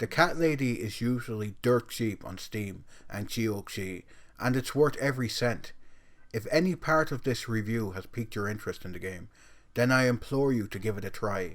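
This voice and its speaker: A man with a strong Irish accent, medium pitch, ordinary pitch variation and a moderate pace, on a very clean recording with a silent background. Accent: Irish, self-described as strong. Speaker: video game reviewer. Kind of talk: scripted review narration.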